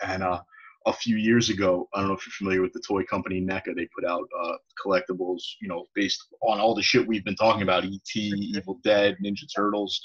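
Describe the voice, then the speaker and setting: Someone with an American accent talks at a fairly quick pace in a monotone, flat intonation, with a dry, close sound and no echo. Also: man, fairly low pitch for a man. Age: 30s. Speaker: podcast host, teacher. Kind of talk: casual interview chat.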